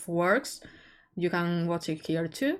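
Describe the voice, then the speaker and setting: A woman speaks at a fairly low pitch with a non-native accent. The recording is very clean and the background silent. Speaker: streamer. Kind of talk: live game stream chat. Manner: loud, shouting; halting, repetitive.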